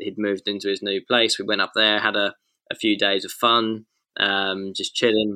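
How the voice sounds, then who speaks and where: In an English accent, a man delivers his words at a moderate pace with a fairly low pitch and monotone, flat intonation. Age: 20s. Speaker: racing driver. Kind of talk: interview. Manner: halting.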